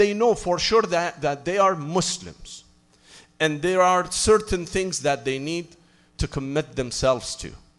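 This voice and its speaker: This man has an unremarkable speaking voice with a fairly high pitch. He talks at a fairly slow pace with lively intonation. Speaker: Islamic preacher. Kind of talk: sermon.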